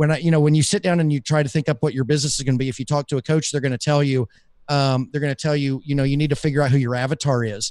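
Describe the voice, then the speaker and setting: A man with a Southern US accent and fairly high pitch speaks very fast with fairly even intonation, the sound dry and close with no echo. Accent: Southern US, mild. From US South. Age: 40s. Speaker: podcaster and business coach. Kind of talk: casual interview chat. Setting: live stream.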